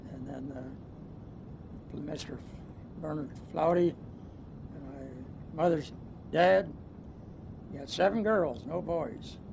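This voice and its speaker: A man with an American accent, very slow delivery, fairly high pitch, vocal fry, long and frequent pauses, big swings in loudness, and audible room echo. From US Midwest, western Ohio. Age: 70s. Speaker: retired businessman. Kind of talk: oral history interview. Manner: halting, many fillers.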